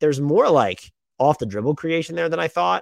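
A man is speaking. The background is quiet. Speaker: basketball podcast host. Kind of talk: solo mailbag podcast, casual talk. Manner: fast talker.

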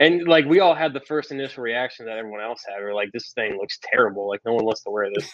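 Very fast male speech at medium pitch, lively in intonation with big swings in loudness. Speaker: former college quarterback, pro football player. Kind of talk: casual chat. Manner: laid-back, many filler words.

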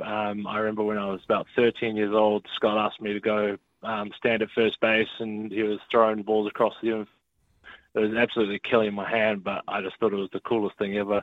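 With a New Zealand accent, this man talks at a fairly quick pace in a fairly low pitch, his intonation monotone and flat. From New Zealand, Auckland. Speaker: baseball player. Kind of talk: interview. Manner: hesitant, many fillers.

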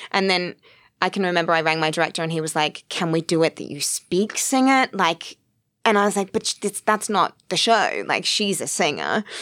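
A woman with an Australian accent and a fairly low pitch, ordinary pitch variation, dry, close sound with no echo, and a very clean recording with a silent background. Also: moderate pace. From Australia (Sydney). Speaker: actress, writer and producer. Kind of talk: casual chat.

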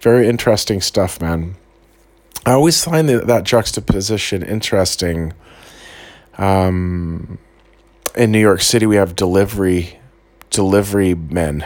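The speaker has an American accent and a moderate pace with ordinary pitch variation. Long pauses come frequently. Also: man. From California. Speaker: podcast host. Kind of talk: casual monologue. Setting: rented basement room while travelling. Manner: rambling, filler-heavy.

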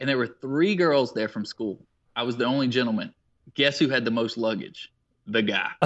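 Here a man has a normal speaking voice with an American accent. His medium pitch shows ordinary variation at a moderate pace. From South Carolina. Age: 20s. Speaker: endurance athlete and fitness coach. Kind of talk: casual interview.

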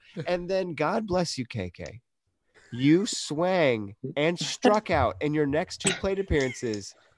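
Very slow speech with very wide pitch swings comes through a dry, close sound with no echo against a quiet background. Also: man, fairly high pitch for a man. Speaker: podcast co-host. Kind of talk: casual, joking sports chat.

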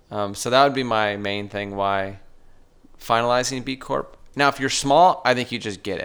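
On a very clean recording with a silent background, a man with an American accent has an unremarkable speaking voice at medium pitch, with ordinary pitch variation and a moderate pace. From southern California. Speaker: entrepreneur, print shop owner. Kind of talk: interview.

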